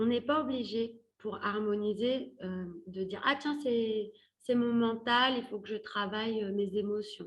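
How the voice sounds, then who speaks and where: A woman speaks slowly in a somewhat breathy voice. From Paris, France. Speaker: career coach. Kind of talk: workshop talk. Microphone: different earphones, crackling mic.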